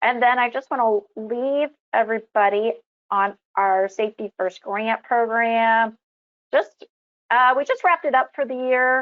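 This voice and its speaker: Her pitch fairly high with ordinary variation, a woman speaks in an ordinary speaking voice at a fairly slow pace. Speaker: insurance company presenter. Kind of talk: webinar presentation.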